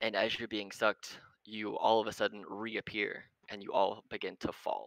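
Simple, plain reading aloud

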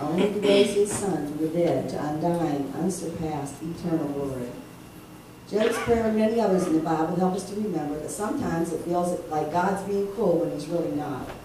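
Over light background noise and audible room echo, a woman speaks at a fairly low pitch. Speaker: preacher. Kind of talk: sermon. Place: church. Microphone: camera far.

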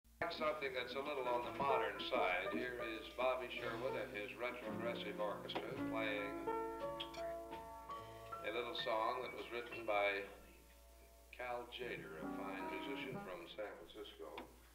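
A man talks at a fairly slow pace while loud music fills the background. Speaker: bandleader emcee. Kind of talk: stage announcement with jokes. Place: bar. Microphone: old recording.

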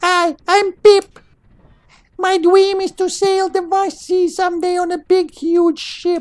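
A squeaky, extremely high-pitched put-on character voice at a fairly slow pace, flat and monotone throughout. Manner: cute, put-on voice.

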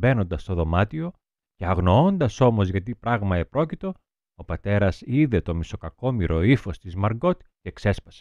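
A man's unremarkable speaking voice, fairly low in pitch, with lively intonation, big swings in loudness and a moderate pace, in a dry, close sound with no echo over a quiet background. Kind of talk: audiobook reading of a literary diary excerpt. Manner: measured, expressive reading, soft and wistful in the girl's confessional passages.

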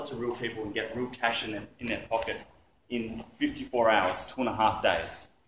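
In an Australian accent, the speaker talks at a moderate pace, with audible room echo and light background noise. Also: man. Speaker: entrepreneur giving business talk. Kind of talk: presentation to audience. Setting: stage with audience. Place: hall.

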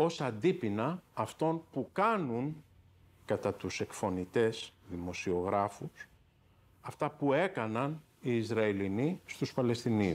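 A man at a very slow pace with very wide pitch swings. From Greece, Athens (Patisia); Greece. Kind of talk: interview testimony. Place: office. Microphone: lapel.

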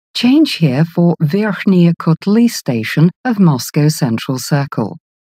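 A woman at a very slow pace, somewhat breathy, with very wide pitch swings and a dry, close sound free of echo. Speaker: metro announcer. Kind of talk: recorded transit announcements. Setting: subway train PA system. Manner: formal.

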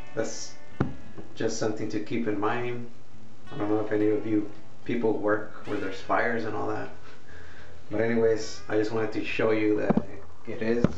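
A man speaks at a moderate pace in a fairly low pitch with monotone, flat intonation and long, frequent pauses while music plays in the background. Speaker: product reviewer. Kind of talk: casual vlog chat. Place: home room. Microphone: webcam.

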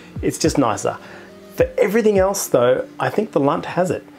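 Soft music sits faintly underneath. A man talks at a moderate speed. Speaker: astronomy channel host. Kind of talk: product review commentary. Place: home room. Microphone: lapel.

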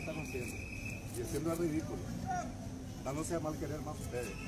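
Over loud background noise, a man speaks at a fairly quick pace with ordinary pitch variation.

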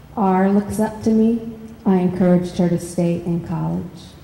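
Speaking very slowly with an American accent, a woman is heard with audible room echo and light background noise. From US Midwest. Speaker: poet. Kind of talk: reading aloud and panel discussion. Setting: stage with audience. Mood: calm, reflective. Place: hall. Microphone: handheld.

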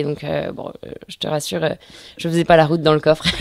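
This woman talks at a very fast pace in a very deep, low voice, her intonation flat and monotone. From Brittany, north Finistère. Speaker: offshore sailor. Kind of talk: interview. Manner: hesitant, many fillers.

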